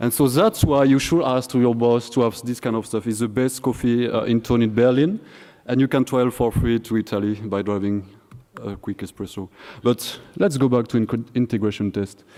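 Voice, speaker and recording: The voice has a dark, mellow tone and moves at a moderate pace with fairly even intonation. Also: man, medium pitch for a man. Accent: French. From France. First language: French. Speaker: conference speaker, software developer. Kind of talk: conference talk. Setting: stage with audience. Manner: halting.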